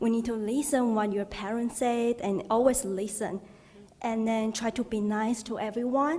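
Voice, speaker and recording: A woman with a Chinese accent, a fairly high pitch and fairly even intonation, amid noticeable background noise. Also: moderate pace. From Taiwan. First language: Mandarin Chinese. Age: 20s. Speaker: doctoral student, audience member. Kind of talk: audience comment.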